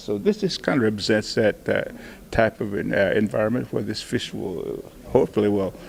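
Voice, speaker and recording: Speech moves at a moderate pace with noticeable background noise behind it. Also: man. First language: Cherokee. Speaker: Cherokee artist and sculptor. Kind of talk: interview. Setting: art show event. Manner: halting, many fillers.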